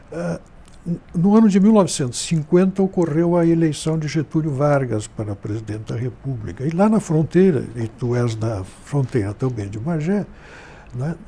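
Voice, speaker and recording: Noticeable background noise accompanies a man speaking at a moderate pace, his fairly high voice making very wide pitch swings. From southern Brazil, Rio Grande do Sul frontier (Santana do Livramento). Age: 70s. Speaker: journalist and writer. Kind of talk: interview.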